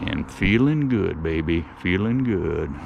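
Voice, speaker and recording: A man with a fairly low voice talks over noticeable background noise, and the room echo is audible. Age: old. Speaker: outdoors vlogger. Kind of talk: casual vlog monologue. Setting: outdoors in the woods. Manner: animated.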